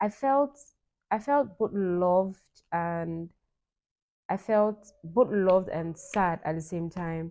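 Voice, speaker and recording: At a very slow pace with long, frequent pauses, a woman speaks at a medium pitch in a dark, mellow tone with ordinary pitch variation. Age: young. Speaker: vlogger. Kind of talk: personal vlog monologue. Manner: animated.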